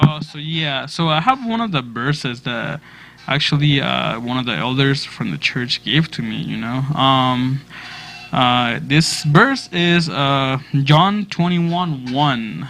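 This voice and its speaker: Over noticeable background noise, a man with a fairly high pitch talks at a very slow pace with lively intonation. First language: Spanish. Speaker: church youth leader. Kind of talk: youth group discussion.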